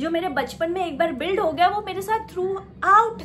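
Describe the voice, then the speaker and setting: Over noticeable background noise, a woman projects a raised voice at an extremely high pitch and a moderate pace. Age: 20s. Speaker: self-help vlogger. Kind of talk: casual motivational talk.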